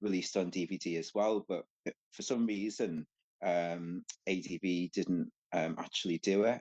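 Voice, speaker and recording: A man speaks fairly slowly in a Scouse accent. The sound is dry and close, with no echo. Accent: Scouse (Liverpool) English. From Liverpool, England. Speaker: podcast guest, anime fan. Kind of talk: casual chat. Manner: halting, many fillers.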